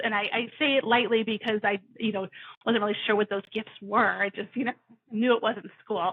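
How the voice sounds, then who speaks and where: Her fairly high voice stays monotone and flat as this woman, with an American accent, speaks at a moderate pace. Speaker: career coach. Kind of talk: podcast interview. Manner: loud; halting with fillers.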